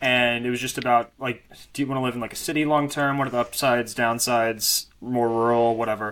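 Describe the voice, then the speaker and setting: With an American accent, a man speaks at a very fast pace and a medium pitch in a monotone, flat intonation. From US South, Arkansas. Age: 20s. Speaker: podcast host. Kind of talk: interview.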